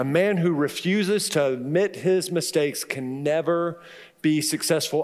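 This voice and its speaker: Fairly high for a man, his pitch varies in an ordinary way in a plain, everyday voice. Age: 50s. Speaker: pastor. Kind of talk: sermon.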